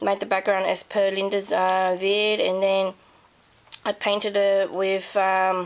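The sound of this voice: A woman with an Australian accent speaks at a medium pitch in a croaky voice. Her delivery is slow, with monotone, flat intonation.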